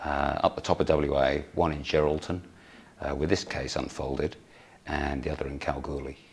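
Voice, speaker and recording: A man speaks at a moderate pace with a very deep, low pitch and vocal fry. His intonation stays monotone and flat. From United Kingdom. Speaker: emergency physician. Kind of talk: conference talk.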